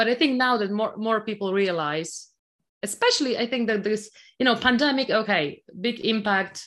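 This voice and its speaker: A woman with a Polish accent speaks at a moderate pace and a fairly high pitch, with lively intonation over a quiet background. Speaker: technology executive. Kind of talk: interview. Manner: halting.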